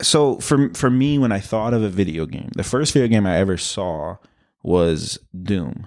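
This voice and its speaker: The recording is very clean, with a silent background. A man with a plain, everyday voice talks at a moderate pace, fairly low in pitch, with lively intonation. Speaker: podcast host. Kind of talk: casual chat. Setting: basement home recording. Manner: joking.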